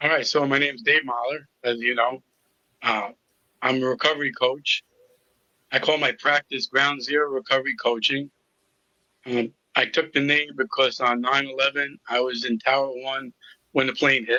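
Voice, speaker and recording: A man with a Brooklyn accent speaks at a moderate pace in a fairly high pitch, his intonation fairly even, broken by long, frequent pauses. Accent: New York (Brooklyn). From New York City (Brooklyn). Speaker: recovery coach. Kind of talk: interview testimony.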